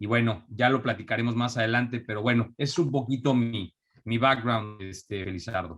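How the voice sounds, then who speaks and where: A man with a Mexico City accent speaks at a moderate pace in a medium pitch with ordinary pitch variation, in a very clean recording with a silent background. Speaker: entrepreneur. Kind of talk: interview. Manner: halting, many fillers.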